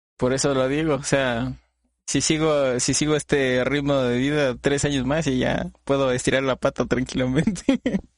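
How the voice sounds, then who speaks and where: This man speaks at a moderate pace and a medium pitch, with very even loudness and monotone, flat intonation. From Latin America, not Mexico. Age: 20s. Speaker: podcast host and streamer. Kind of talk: casual interview chat.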